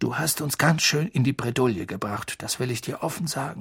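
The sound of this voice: Putting on a character voice, a man at a medium pitch speaks at a fairly quick pace with lively intonation, a fairly bright tone, a husky, rough edge and vocal fry.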